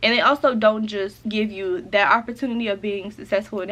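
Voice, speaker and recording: Speaking at a very fast pace, a woman with a medium-pitched voice sounds animated. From upstate South Carolina, US South. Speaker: lifestyle content creator. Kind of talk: casual vlog, get-to-know-me Q&A. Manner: animated, chatty.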